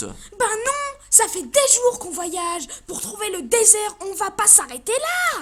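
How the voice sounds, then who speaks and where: Fairly slow speech from a woman in a put-on character voice, pitched extremely high. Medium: audio drama. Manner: casual, crude.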